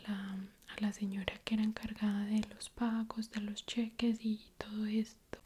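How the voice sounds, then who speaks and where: A soft-spoken woman with a fairly high voice talks at a fairly slow pace, somewhat breathy, with a gentle, dark, mellow tone and monotone, flat intonation. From Colombia. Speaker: ASMR YouTuber. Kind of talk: ASMR story time, casual talk to camera. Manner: soft-spoken, slow, gentle.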